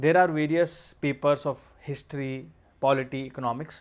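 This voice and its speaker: Here a man speaks with an Indian accent. He keeps a moderate pace. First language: Hindi. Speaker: exam coach and civil servant. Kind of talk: tutorial.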